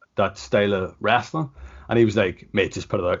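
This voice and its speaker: Here a man with a Northern Irish accent speaks in a fairly low pitch. He goes at a fairly quick pace with ordinary pitch variation. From Ireland. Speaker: professional wrestler. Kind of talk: casual interview. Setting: video call. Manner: casual, lots of filler words.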